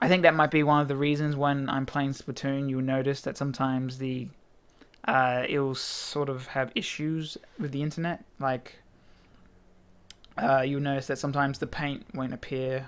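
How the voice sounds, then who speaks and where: Speaking at a moderate pace with an Australian accent, a man with a fairly high pitch keeps a monotone, flat intonation. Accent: Australian, milder than many. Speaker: gaming video blogger. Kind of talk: casual vlog talk. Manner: hesitant, many fillers.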